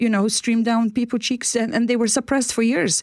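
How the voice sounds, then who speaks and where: Recorded very cleanly against a silent background, a woman in a Polish accent speaks at a fairly high pitch. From Poland. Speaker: inspirational speaker, former care worker. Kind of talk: radio interview. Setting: radio studio.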